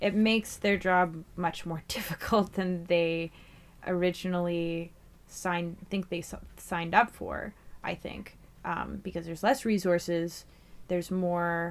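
Using a plain, everyday voice, a woman speaks at a fairly slow pace with a fairly low pitch and fairly even intonation. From Fort Simpson, Northwest Territories, Canada. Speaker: community organizer and MC. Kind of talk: casual conversation.

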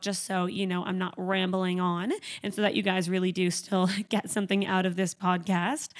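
A woman talks at a fairly quick pace. Her pitch shows little movement.

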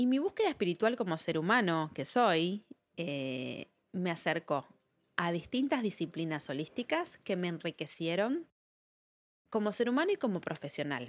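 A woman with an Argentine accent speaks at a moderate pace, her fairly low pitch making very wide swings. The recording is very clean, with a silent background. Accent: Argentine Spanish (Rioplatense). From Argentina. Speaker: psychologist and podcast host. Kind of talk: reflective solo monologue.

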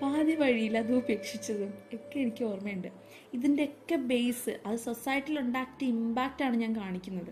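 A woman's high-pitched voice with ordinary pitch variation over background music. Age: 20s. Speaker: podcast host, film reviewer. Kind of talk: film review monologue. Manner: animated.

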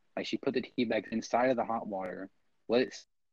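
The voice is quiet and races along at a very fast pace with fairly even intonation. The sound is dry and close, with no echo. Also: man. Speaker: podcast co-host. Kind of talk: casual chat. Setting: home recording.

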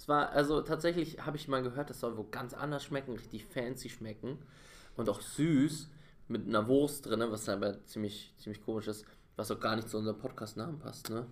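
A man's plain, everyday voice at a medium pitch and moderate pace, with ordinary pitch variation and big swings in loudness. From Bavaria. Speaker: podcast co-host. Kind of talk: casual chat.

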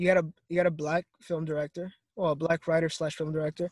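A man speaks at a very fast pace, somewhat breathy. The sound is dry and close, with no echo. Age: 20s. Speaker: college student. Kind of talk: casual chat.

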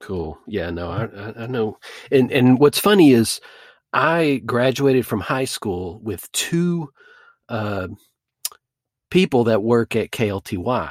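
Speaking very slowly, a man with an American accent uses lively intonation. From North Texas, Duncanville. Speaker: comedy podcast host and improviser. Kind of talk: casual interview.

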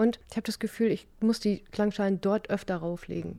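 The voice belongs to a woman. Its tone is dark and mellow. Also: very clean recording, silent background. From northern Germany, Stade (Lower Saxony). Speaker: sound massage therapist. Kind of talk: casual interview.

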